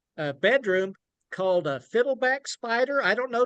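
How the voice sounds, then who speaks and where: With an Oklahoma accent, a man speaks using lively intonation. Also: dry, close sound with no echo. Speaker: children's book author. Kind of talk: book talk. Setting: video call.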